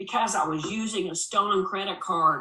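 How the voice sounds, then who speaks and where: A woman's put-on character voice at medium pitch, with ordinary pitch variation and a moderate pace. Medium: read story. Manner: curt, swearing, agitated.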